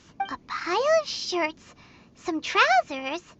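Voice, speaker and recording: A put-on character voice, squeaky and extremely high in pitch. It has an energetic tone and a fairly slow pace. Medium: video game. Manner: energetic, impatient.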